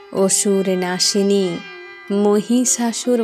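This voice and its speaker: Over music in the background, a woman speaks at a medium pitch with fairly even intonation. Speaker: poet reciting own poem. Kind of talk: poetry reading.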